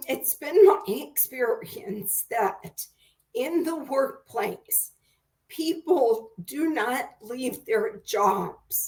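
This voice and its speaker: Speaking at a very slow pace, a woman uses a high pitch with very wide pitch swings. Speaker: career counselor and author. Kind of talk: video interview conversation. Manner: with pauses.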